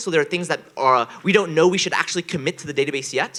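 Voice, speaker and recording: A man's high-pitched voice at a very fast pace. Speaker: software developer giving conference talk. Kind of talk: technical conference presentation.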